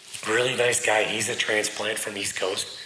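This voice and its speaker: Audible room echo and noticeable background noise surround a man speaking at a moderate speed. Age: 40s. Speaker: knife maker and military veteran. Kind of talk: casual interview chat.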